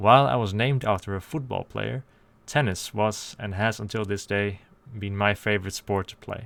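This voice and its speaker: A man with a Dutch accent at a moderate pace, his pitch fairly low with ordinary variation, on a very clean recording with a silent background. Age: 20s. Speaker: YouTuber. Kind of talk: scripted monologue.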